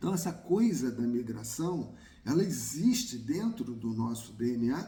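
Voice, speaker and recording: At a very slow pace, the voice has a dark, mellow tone, very wide pitch swings and vocal fry, with audible room echo. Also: man. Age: 60s. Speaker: YouTuber on migration. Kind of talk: personal talk to camera.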